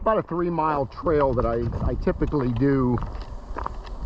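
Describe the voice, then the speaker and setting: Over noticeable background noise, a man talks in a relaxed tone at a moderate pace with ordinary pitch variation. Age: 70s. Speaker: retiree vlogger. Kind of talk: casual vlog narration. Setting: outdoors on a hiking trail. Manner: relaxed, halting with fillers.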